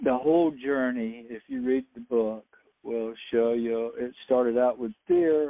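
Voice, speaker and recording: In a Southern US accent, a man speaks at a medium pitch and a fairly slow pace with fairly even intonation. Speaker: UFO experiencer and author. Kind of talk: radio interview.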